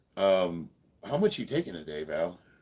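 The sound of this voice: This man's voice sits low, with big pitch swings and an American accent. The tone is slightly mellow with a slightly husky edge. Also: moderate pace.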